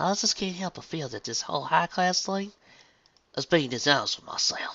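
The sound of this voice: In a put-on character voice with a bright, sharp tone and vocal fry, the speaker moves at a moderate pace with lively intonation.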